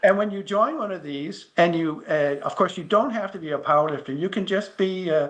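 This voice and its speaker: With an American accent, a man speaks at a fairly quick pace with hardly any pauses. His pitch is high and his intonation lively. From United States. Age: 70s. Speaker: masters powerlifter. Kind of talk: interview. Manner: halting, repeats words.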